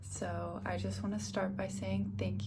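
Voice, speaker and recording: A soft-spoken woman with a very deep, low pitch talks in a relaxed tone with monotone, flat intonation over noticeable background noise. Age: 20s. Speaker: ASMR creator. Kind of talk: ASMR Q&A to camera. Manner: soft-spoken, relaxed.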